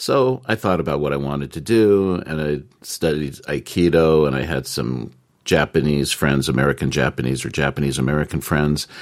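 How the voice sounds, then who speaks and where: His pitch shows ordinary variation as this man goes along at a moderate pace. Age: 60s. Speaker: English teacher in Japan, podcast co-host. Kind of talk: casual chat.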